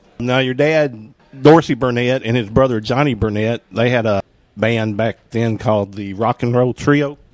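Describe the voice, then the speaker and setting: Music plays in the background as a man talks at a moderate pace and medium pitch with fairly even intonation, in a dry, close sound with no echo. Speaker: interviewer and concert reviewer. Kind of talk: interview questions. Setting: club in Nashville.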